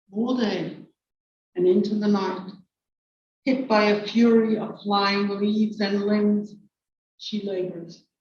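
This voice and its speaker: A woman of medium pitch speaks with an American accent, very slowly and in a flat monotone, with long, frequent pauses. Audible room echo surrounds her voice. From New York City. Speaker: poet. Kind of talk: poetry reading.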